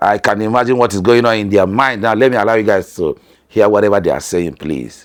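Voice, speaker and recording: The speech comes at a very fast pace with ordinary pitch variation. It is delivered in a Nigerian accent. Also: man, fairly low pitch for a man. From northern Nigeria. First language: Hausa. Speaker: family vlogger. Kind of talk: vlog narration.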